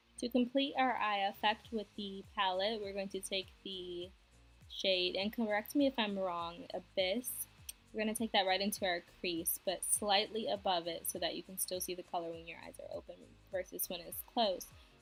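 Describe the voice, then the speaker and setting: A woman's medium-pitched voice at a moderate pace, with ordinary pitch variation, big swings in loudness, and music in the background. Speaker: beauty vlogger. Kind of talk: makeup tutorial talk to camera. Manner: quiet, low volume.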